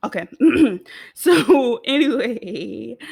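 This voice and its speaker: The recording is very clean, with a silent background. A woman speaks with an American accent and vocal fry. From United States. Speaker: video essayist. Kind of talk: casual video essay commentary. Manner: chatty, playful.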